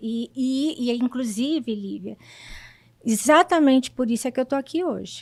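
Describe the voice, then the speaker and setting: This woman has a high-pitched voice with ordinary pitch variation. She talks at a moderate pace. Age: 60s. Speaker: patient sharing her story. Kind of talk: testimony. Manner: halting, with repetitions.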